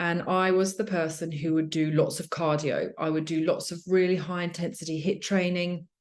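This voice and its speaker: A woman speaks with a British accent at a moderate pace. Her voice is fairly low, with ordinary pitch variation, and the background is quiet. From UK. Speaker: fitness coach for mothers. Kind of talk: webinar presentation. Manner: casual, many fillers.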